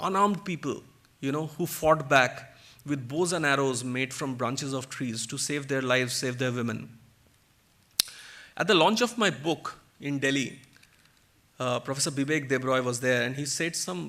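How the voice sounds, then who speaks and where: A man's speech with a Bengali accent, ordinary pitch variation and long, frequent pauses. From India, Kolkata (West Bengal). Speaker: author and guest speaker. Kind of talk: public talk. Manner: animated.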